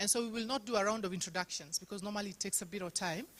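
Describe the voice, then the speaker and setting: Speaking at a very fast pace, a woman with a fairly high pitch uses ordinary pitch variation. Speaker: workshop facilitator. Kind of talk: meeting presentation.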